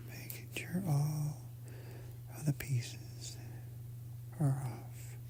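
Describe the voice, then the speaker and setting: A gentle, soft-spoken whisper, somewhat breathy, comes at a very slow pace. Long, frequent pauses break it up. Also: man. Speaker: ASMR content creator. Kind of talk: ASMR soft-spoken instructional narration. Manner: soft, gentle, slow, whispery.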